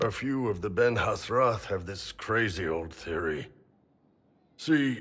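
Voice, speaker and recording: In a raspy, put-on character voice, the speaker moves at a fairly slow pace with long, frequent pauses. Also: man, fairly low pitch for a man. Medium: video game. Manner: gruff, hearty, relishing.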